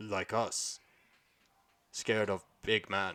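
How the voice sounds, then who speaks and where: Using a put-on character voice, a man speaks at a fairly low pitch in a very clean recording with a silent background. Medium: actual play. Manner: broken, simple speech.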